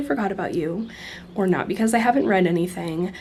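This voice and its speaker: A woman's dark, mellow voice moves through ordinary pitch variation. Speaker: book vlogger. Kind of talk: casual vlog talk. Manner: casual, chatty.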